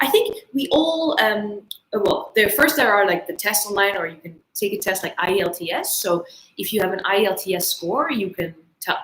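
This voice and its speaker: With a Dutch accent, a woman talks at a medium pitch with lively intonation. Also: moderate pace. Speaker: English teacher. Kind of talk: online English lesson livestream.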